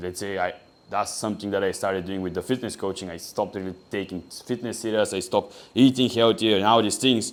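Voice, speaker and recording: Very clean recording with a silent background: a man with a Bulgarian accent, fairly low pitch, fairly even intonation and a fairly quick pace. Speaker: online business coach. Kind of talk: tutorial.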